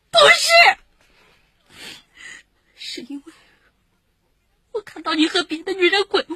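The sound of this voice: In a put-on character voice, a woman speaks at an extremely high pitch with big pitch swings, a bright, sharp tone and a fairly slow pace, in a dry, close sound with no echo.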